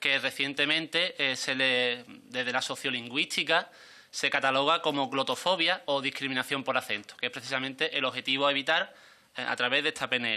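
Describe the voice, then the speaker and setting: A man with an Andalusian accent speaks at a moderate pace with a fairly high pitch and ordinary pitch variation. His tone is bright and sharp, and his loudness stays very even. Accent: southern Spanish (Andalusian). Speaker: member of parliament. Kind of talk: parliamentary speech. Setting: parliamentary committee. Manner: formal. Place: meeting room. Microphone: podium.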